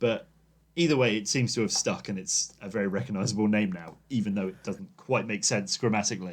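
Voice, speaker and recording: A man with an English accent speaks at a fairly quick pace. His pitch is fairly low, with ordinary pitch variation. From England. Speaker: podcast host. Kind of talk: casual chat.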